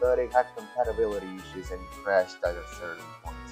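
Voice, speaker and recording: With music in the background, a man with a strong non-native accent speaks at a very fast pace. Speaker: video game reviewer. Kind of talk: casual game review talk. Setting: home recording, poor audio.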